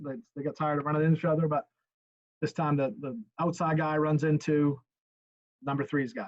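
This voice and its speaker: A man's fairly high voice at a fairly quick pace, the sound dry and close with no echo. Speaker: high school football coach. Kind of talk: tutorial. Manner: fast.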